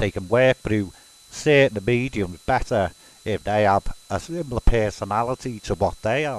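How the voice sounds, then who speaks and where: In a Liverpool accent, a man speaks at a moderate pace with a fairly low pitch. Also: ordinary pitch variation, dry, close sound with no echo. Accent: Scouse. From Liverpool, England. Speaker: spiritualist medium. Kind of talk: casual explanatory monologue.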